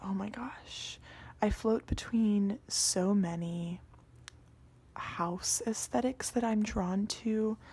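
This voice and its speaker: Whispering and soft-spoken, the voice is somewhat breathy with a relaxed tone. It moves at a very slow pace. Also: woman. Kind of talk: ASMR scroll-through, casual talk to camera. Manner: soft-spoken, whispery, relaxed.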